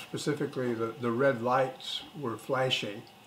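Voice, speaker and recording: Noticeable background noise sits behind a man with an American accent. He speaks at a moderate pace with a medium pitch. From Oregon, US Pacific Northwest. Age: 70s. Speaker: grandfather interviewed for school project. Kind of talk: casual interview. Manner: halting, frequent fillers.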